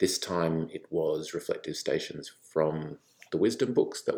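The recording is very clean and the background silent. In it, a man talks very slowly. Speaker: church podcast host. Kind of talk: podcast introduction. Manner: casual, conversational.

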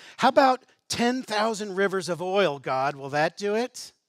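A put-on character voice at a middle pitch and moderate pace. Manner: contemptuous, sarcastic.

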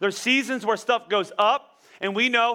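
A man's raised, projected voice, bright and sharp in tone, animated and at a fairly quick pace. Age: 40s. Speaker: pastor. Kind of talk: sermon. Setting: church.

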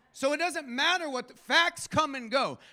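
An animated man projects a raised voice at an extremely high pitch. His tone is bright and sharp, with ordinary pitch variation. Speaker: guest preacher. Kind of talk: sermon with congregation call-and-response. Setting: church. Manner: animated, fervent, exhorting, rising intensity.

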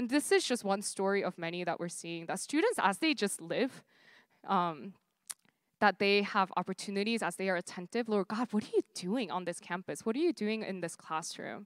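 The speech moves at a fairly quick pace, with a dry, close sound with no echo on a very clean recording with a silent background. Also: woman. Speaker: campus minister. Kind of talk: sermon. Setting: stage with audience. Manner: hesitant with many fillers.

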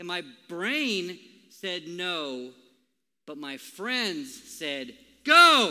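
A man with a high-pitched, bright and sharp voice and an American accent speaks very slowly with long, frequent pauses, very wide pitch swings and big swings in loudness, and room echo is audible. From Minnesota. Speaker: pastor. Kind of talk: sermon. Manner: casual.

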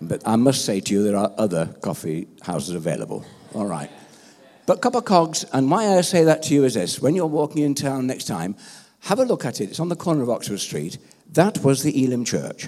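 Talking at a fairly quick pace, a man with a medium-pitched voice has a dark, mellow tone, vocal fry and very wide pitch swings. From England. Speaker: pastor. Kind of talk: sermon.

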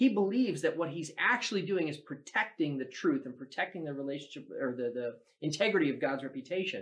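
A man talks at a very fast pace with hardly any pauses. His voice is fairly high, with lively intonation. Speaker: church pastor. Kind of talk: casual religious discussion. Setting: livestream recording.

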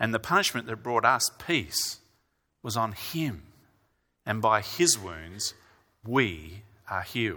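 Bright, sharp male voice with lively intonation, a very slow pace and long, frequent pauses on a very clean recording with a silent background. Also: medium pitch for a man. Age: 40s. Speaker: preacher. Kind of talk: sermon. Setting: church.

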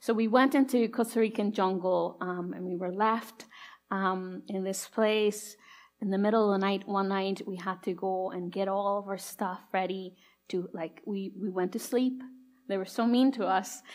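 Using an ordinary speaking voice, a woman talks at a moderate pace with fairly even intonation. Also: medium pitch for a woman. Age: 30s. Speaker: preacher. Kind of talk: sermon. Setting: church.

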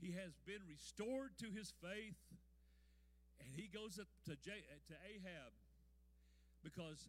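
With a high pitch and ordinary pitch variation, a man speaks at a fairly slow pace in an animated tone. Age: 70s. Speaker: pastor. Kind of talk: sermon. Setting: church.

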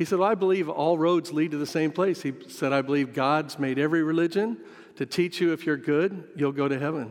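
A man with a plain, everyday voice, fairly high in pitch, with an American accent, a fairly quick pace and ordinary pitch variation. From US Midwest, western Kansas. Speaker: missionary pastor. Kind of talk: sermon. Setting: church sanctuary.

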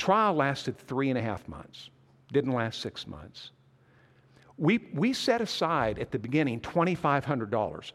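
A man with a fairly high pitch and vocal fry speaks at a moderate pace. His pitch swings very widely and his loudness swings a lot, on a very clean recording with a silent background. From US Northwest (Montana). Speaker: pastor and church convention leader. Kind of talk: sermon.

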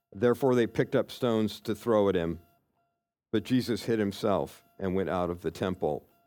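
A man speaks with an American accent at a fairly low pitch. Music plays in the background. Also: ordinary pitch variation, moderate pace. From Kansas. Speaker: church elder and preacher. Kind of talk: sermon.

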